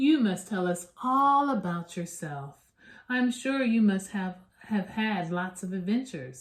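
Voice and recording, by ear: This is someone reading aloud. The voice is natural.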